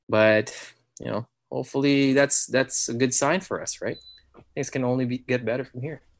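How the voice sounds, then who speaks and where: A man with a Filipino accent talks at a moderate pace, his intonation fairly even. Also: medium pitch for a man. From Philippines. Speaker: new father. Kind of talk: casual interview chat.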